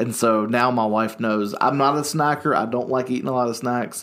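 Here a man talks with a Southern US accent. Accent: US South. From North Carolina, Salisbury. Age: 30s. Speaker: youth pastor. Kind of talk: casual chat. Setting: studio.

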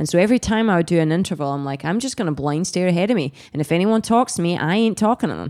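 A woman with a Scottish accent talks very fast with hardly any pauses. Her voice is fairly low in pitch, and her intonation is lively. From Scotland. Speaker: pro triathlete and coach. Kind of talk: casual interview chat.

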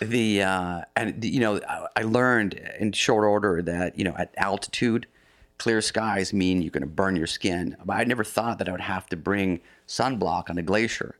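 A man's fairly low voice with an American accent, a normal speaking voice at a moderate pace with ordinary pitch variation, on a very clean recording with a silent background. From US Pacific Northwest, near Seattle. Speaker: coffee company founder and explorer. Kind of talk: interview, telling life story.

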